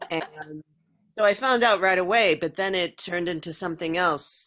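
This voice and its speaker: Ordinary pitch variation marks a woman with an American accent and an unremarkable speaking voice, talking at a moderate pace. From Minnesota, US Midwest. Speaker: actress. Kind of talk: interview.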